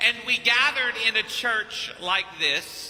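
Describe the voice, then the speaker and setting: An extremely high-pitched man's voice at a very slow pace, with noticeable background noise. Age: 50s. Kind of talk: sermon. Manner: animated.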